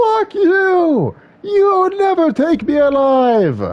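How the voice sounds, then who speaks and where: This voice is an over-the-top character act, pitched extremely high. The words drag out at a very slow pace. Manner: shouted, defiant.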